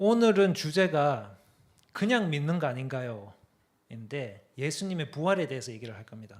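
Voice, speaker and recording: A man with a Gyeongsang accent, fairly high pitch, very wide pitch swings and big swings in loudness. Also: moderate pace. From Korea, Daegu (Gyeongsang). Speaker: apologetics speaker, guest preacher. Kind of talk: sermon.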